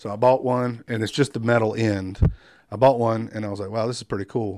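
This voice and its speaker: Spoken at a very fast pace with a coastal North Carolina accent, the voice stays monotone and flat, on a very clean recording with a silent background. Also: man. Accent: US Southern (coastal North Carolina). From North Carolina coast (Wilmington). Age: 40s. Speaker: firefighter and craftsman. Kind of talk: interview conversation. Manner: many fillers and repetitions.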